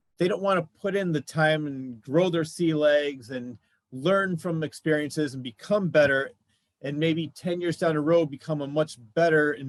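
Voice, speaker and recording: This man has a normal speaking voice, pitched fairly high. He talks at a moderate pace with ordinary pitch variation. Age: 50s. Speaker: podcast host. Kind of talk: casual chat.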